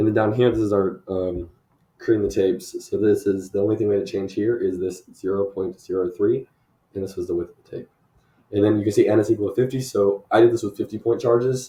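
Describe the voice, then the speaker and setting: At a very fast pace, a man talks in a fairly low pitch with a dark, mellow, somewhat breathy tone and fairly even intonation. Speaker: university student. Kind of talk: lab presentation walkthrough. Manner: casual with filler words.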